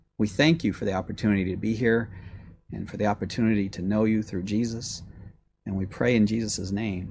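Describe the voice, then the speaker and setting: A man speaks fairly quickly in a fairly low pitch with fairly even intonation. His is an unremarkable speaking voice. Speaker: guest preacher. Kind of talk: sermon. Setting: church.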